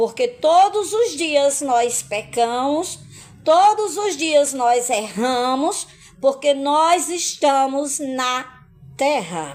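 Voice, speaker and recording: At a very slow pace, a woman talks in a high voice with very wide pitch swings. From Brazil, Paraíba (Northeast). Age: 50s. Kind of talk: religious testimony live stream. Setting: live stream.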